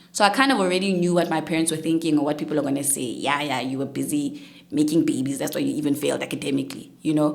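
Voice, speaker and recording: A woman with a very deep, low voice talks at a very fast pace with hardly any pauses and ordinary pitch variation. Noticeable background noise and audible room echo fill the recording. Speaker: chartered accountant and public speaker. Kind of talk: interview testimony.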